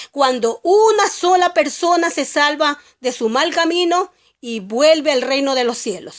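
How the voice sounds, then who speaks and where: Her pitch is high, and this woman's voice moves in very wide pitch swings. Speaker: lay Bible teacher. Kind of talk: religious monologue. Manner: halting, self-correcting.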